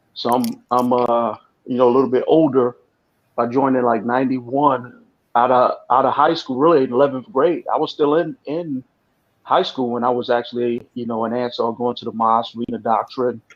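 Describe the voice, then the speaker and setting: With a New York accent, a man speaks fairly quickly at medium pitch and with fairly even intonation. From New York City. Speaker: ex-cult member. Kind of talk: testimony. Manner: halting.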